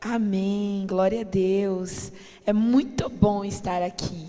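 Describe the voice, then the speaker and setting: A woman talks with ordinary pitch variation. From Brazil, family from the Northeast. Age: 30s. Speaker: pastor. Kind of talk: sermon. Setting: church.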